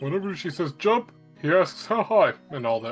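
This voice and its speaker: A put-on character voice at a middle pitch moves at a moderate pace while faint music plays in the background. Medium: stage play. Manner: chatty, friendly.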